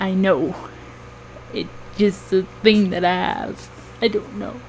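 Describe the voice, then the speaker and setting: Amid noticeable background noise, a soft-spoken woman talks at a fairly slow pace. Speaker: cosplayer and fursuit maker. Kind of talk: casual vlog chat. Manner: quiet, soft-spoken; hesitant, many fillers.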